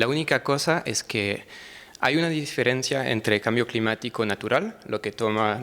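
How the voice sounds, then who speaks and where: A man speaks with a French accent and a bright, sharp tone. His pitch varies in an ordinary way. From France. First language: French (speaking Spanish). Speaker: researcher presenting at a seminar. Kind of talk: conference presentation. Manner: halting, many fillers and restarts.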